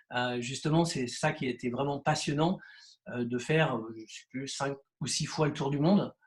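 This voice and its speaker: The man's voice is somewhat breathy and fairly high in pitch. He talks at a fairly slow pace with ordinary pitch variation. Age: 60s. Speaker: real estate agent. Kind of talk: interview. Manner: halting, many hesitations.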